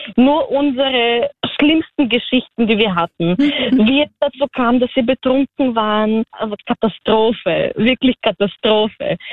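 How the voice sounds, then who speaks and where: A high-pitched woman speaks at a fairly slow pace with hardly any pauses, very even loudness and ordinary pitch variation. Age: 20s. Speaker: guest telling a dating story. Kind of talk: storytelling.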